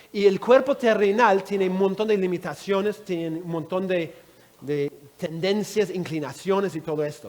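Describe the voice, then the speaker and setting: Over noticeable background noise, a man with a high-pitched voice talks with big swings in loudness and ordinary pitch variation. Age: 60s. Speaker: Bible teacher. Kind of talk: Bible teaching session.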